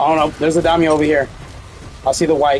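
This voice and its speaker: A man's voice over music in the background. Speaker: gaming video creator. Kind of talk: gameplay commentary. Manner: animated.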